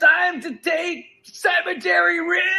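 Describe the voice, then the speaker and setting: In a put-on character voice, someone shouts at an extremely high pitch and a fairly slow pace. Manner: commanding, mock-serious.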